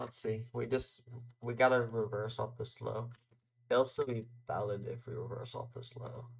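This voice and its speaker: A man with an American accent, medium pitch and vocal fry, monotone, flat intonation, big swings in loudness and a moderate pace. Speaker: day trader streamer. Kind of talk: live trading commentary.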